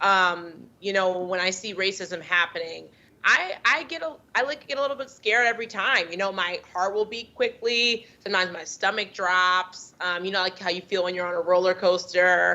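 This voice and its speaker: Here a woman speaks with an American accent at a moderate pace. Her pitch is medium, with ordinary variation. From United States. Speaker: doctor and anti-racism advocate. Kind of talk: panel discussion.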